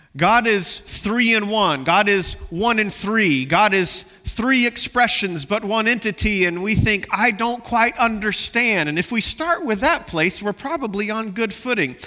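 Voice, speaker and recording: Over noticeable background noise, a man projects a raised, high-pitched voice with lively intonation. He goes at a fairly slow pace with hardly any pauses. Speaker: pastor. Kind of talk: sermon. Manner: passionate, loud at times.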